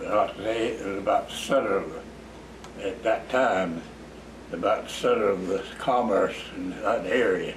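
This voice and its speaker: A man talks at a moderate pace. Noticeable background noise runs through the clip. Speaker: interviewee. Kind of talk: interview answer. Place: home room.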